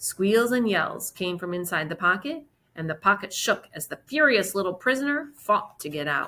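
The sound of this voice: An unforced reading voice comes through in the recording.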